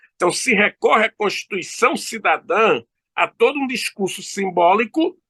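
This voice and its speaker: A man's raised, projected voice, high for a man, bright and sharp in tone, with lively intonation at a fairly slow pace, in a dry, close sound with no echo. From Brazil, Recife (Pernambuco). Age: 60s. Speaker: law professor. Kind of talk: interview.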